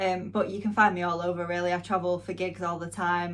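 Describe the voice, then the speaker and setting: Speaking with a strong northern English accent, a woman uses a fairly low pitch. Her intonation is fairly even and her pace moderate. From northwest England, near Manchester. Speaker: music channel host and interviewer. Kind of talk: casual Q&A vlog.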